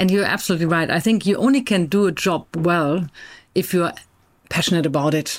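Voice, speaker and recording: Speaking at a fairly quick pace in a German accent, a woman with a fairly low pitch keeps her loudness very even and her pitch variation ordinary, in a very clean recording with a silent background. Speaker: corporate board member, HR director. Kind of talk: interview. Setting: studio.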